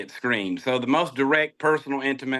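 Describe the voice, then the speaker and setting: A man with a Southern US accent, medium pitch, ordinary pitch variation and a very fast pace. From US South. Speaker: entrepreneur, Marine veteran. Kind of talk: interview. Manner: halting, many fillers.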